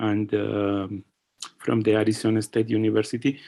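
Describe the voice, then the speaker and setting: A moderate pace in a Spanish accent. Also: man. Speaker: physicist asking a question. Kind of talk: seminar Q&A. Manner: halting, many fillers.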